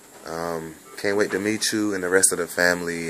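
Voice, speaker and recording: A man with a very deep, low voice speaks over noticeable background noise. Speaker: vlogger. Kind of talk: casual video message.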